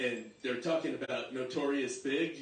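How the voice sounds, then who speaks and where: With a New York accent, a man speaks at a moderate pace amid audible room echo and noticeable background noise. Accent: New York City. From Staten Island, New York. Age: 60s. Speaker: stand-up comedian. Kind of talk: stand-up.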